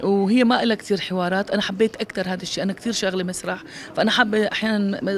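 A woman talks at a very fast pace with ordinary pitch variation. Light background noise can be heard, and the sound is dry with no echo. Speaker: actress being interviewed. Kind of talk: interview answer. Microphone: handheld.

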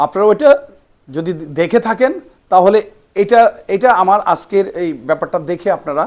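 Ordinary pitch variation in a man's high voice. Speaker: film actor and karate player. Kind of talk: interview. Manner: halting.

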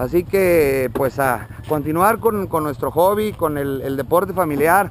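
Over light background noise, a man talks at a fairly slow pace in a dry sound with no echo. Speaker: event host holding the camera. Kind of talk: event commentary and interview. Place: street. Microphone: phone near.

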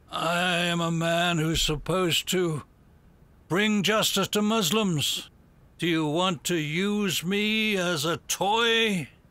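A man speaks at a high pitch for a man and a very slow pace, with very even loudness. The recording is very clean, with a silent background. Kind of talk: courtroom speech. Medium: fan dub. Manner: indignant, sanctimonious.

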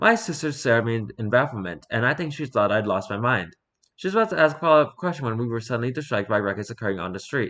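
An unforced reading voice with lively intonation and a quiet background.

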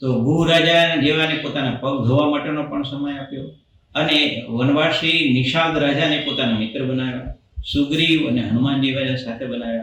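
Using an unremarkable speaking voice, a man with a fairly high pitch speaks with fairly even intonation. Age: 60s. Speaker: doctor and temple event attendee. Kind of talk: interview. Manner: formal.

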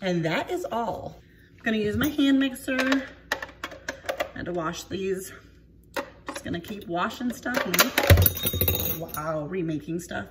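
A woman talks very slowly while loud background noise fills the recording. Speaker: home cooking vlogger. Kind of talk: casual vlog chat. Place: kitchen. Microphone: phone near.

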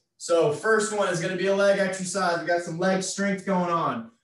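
Audible room echo surrounds a man speaking at a moderate pace with a high pitch. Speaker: fitness instructor. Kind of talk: workout instruction. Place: home room. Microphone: camera far.

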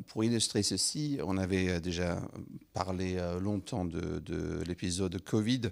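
A man with a non-native accent and a very deep, low pitch, speaking very slowly with ordinary pitch variation against a quiet background. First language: not French (speaking French). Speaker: head of a parliamentary science foresight unit; speaker. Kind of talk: formal address at a round table. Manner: halting, many hesitations. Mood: polite, slightly hesitant. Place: hall. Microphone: handheld.

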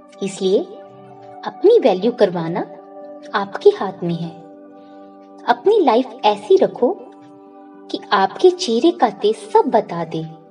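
Over music in the background, a woman with a fairly high voice swings very widely in pitch and leaves long, frequent pauses. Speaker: motivational speaker. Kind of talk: motivational speech.

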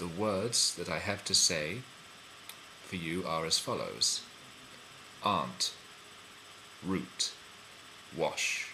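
A man with a very deep, low voice speaks at a very slow pace with ordinary pitch variation and long, frequent pauses, over noticeable background noise. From London, England. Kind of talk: casual talk to camera.

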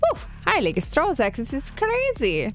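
A woman does a put-on character voice at a moderate pace. Clear background noise can be heard. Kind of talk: character voice impression. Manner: cocky, trolling. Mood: playful, smiling.

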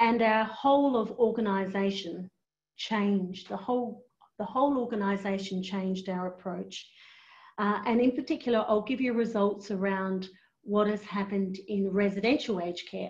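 A woman speaks at a moderate pace in a somewhat breathy voice with fairly even intonation. The background is quiet. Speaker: aged care executive; presenter. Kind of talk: webinar presentation. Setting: online webinar. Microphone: video call.

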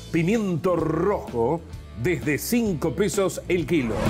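A man's voice, fairly high in pitch, comes through with music playing behind it. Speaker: radio and TV announcer. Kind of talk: price list announcement read.

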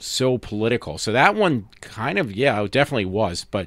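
In a very clean recording with a silent background, a man speaks at a fairly slow pace with lively intonation. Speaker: podcast host. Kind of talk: casual monologue.

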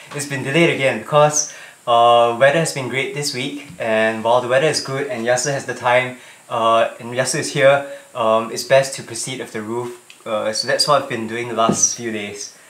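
With audible room echo, a man talks at a moderate pace and with fairly even intonation. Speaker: vlogger. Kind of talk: casual vlog chat. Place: home room. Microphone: camera far.

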